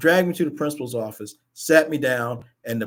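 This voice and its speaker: This man talks at a moderate pace with an American accent and lively intonation. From Baltimore area, Maryland. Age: 60s. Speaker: talk show host. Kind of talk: personal storytelling on a live talk show. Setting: live stream show. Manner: halting, repeats words.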